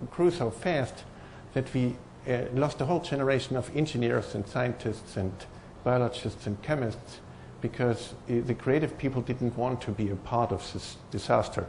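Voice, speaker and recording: A man with a strong German accent sounds somewhat breathy, his intonation lively, with audible room echo around him. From Germany. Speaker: professor. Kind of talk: conference talk. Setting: stage with audience. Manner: hesitant, many fillers.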